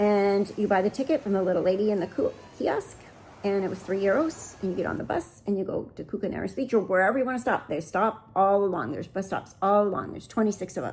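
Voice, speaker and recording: A woman with an American accent at medium pitch and ordinary pitch variation, talking at a very fast pace. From United States. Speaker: travel vlogger. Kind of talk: travel vlog. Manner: casual, chatty.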